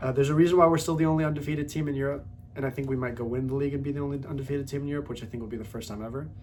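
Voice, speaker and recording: A man's somewhat breathy, medium-pitched voice with ordinary pitch variation and audible room echo. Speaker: football fan video creator. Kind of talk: casual football talk monologue. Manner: fast; animated.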